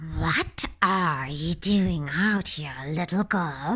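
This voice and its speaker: The speaker uses a put-on character voice at a very slow pace. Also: woman, fairly low pitch for a woman. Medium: read story. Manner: sly, put-on sweetness.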